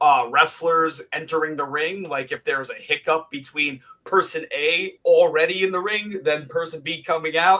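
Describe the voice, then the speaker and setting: A man with a fairly high pitch. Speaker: wrestling ring announcer. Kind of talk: casual interview chat.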